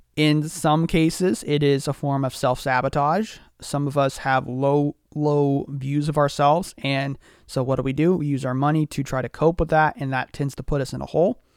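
A man with an unremarkable speaking voice talks at a fairly high pitch and moderate pace with fairly even intonation, in a very clean recording with a silent background and a dry, close sound with no echo. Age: 20s. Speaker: podcast host. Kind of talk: casual chat.

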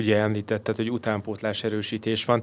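Here a man speaks at a very fast pace. His voice sits fairly low. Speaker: football podcast co-host. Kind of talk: casual chat.

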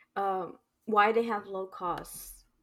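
A woman speaks fairly slowly in a normal speaking voice, fairly high in pitch with fairly even intonation, on a very clean recording with a silent background. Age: 20s. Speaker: podcast co-host, business student. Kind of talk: casual chat.

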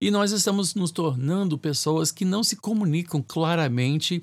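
Speaking at a fairly slow pace, a man has lively intonation. He has a slight non-native accent. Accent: slight foreign accent in Portuguese. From North America (Canadian-American family), raised in Brazil. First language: English (speaking Portuguese). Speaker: bishop and podcast host. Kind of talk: solo podcast commentary. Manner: hesitant, with fillers and repetitions.

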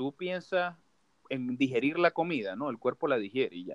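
A man's fairly high voice in a Maracaibo accent, moderate in pace, with a dry, close sound and no echo. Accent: Maracaibo (marabino). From Venezuela, Maracaibo (Zulia). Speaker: podcast host. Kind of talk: casual chat. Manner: casual, slangy.

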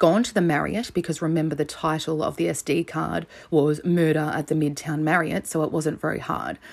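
A woman's very deep, low voice with vocal fry and an Australian accent, at a moderate pace, on a very clean recording with a silent background. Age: 30s. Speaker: true crime podcast host. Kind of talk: solo podcast narration. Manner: casual, conversational.

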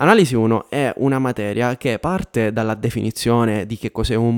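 This man has an unremarkable speaking voice, medium in pitch, with fairly even intonation at a moderate pace. The recording is very clean with a silent background and a dry, close sound with no echo. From Sicily, Catania area. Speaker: YouTuber and engineer. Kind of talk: advice monologue to camera.

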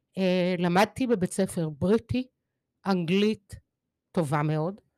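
Her intonation rises and falls in a lively way. The woman's pitch is medium. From Israel (Kfar Vitkin), teen years in Mexico City. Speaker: poet, retired English teacher. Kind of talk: interview. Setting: studio.

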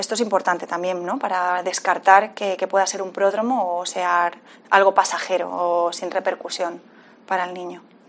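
A woman at a moderate pace, monotone and flat in intonation, with big swings in loudness. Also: medium pitch for a woman. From Canary Islands, Tenerife (La Laguna). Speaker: psychiatry resident. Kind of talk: interview. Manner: halting, repeats words.

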